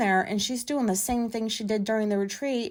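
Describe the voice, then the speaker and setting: On a very clean recording with a silent background, a woman talks fairly quickly at a fairly high pitch. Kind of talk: casual monologue. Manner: loud; rambling, filler-heavy.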